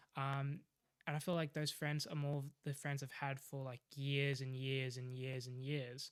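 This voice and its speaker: Speaking fairly slowly with an Australian accent, this man has a fairly high pitch and a monotone, flat intonation. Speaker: aspiring professional golfer. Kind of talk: casual interview chat. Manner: hesitant, many fillers.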